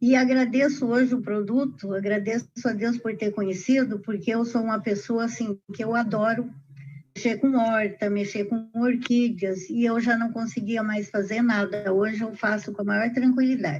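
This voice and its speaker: A woman speaks at a moderate pace, her pitch fairly high and her intonation fairly even. It is an ordinary speaking voice. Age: 60s. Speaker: customer. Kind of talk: testimony.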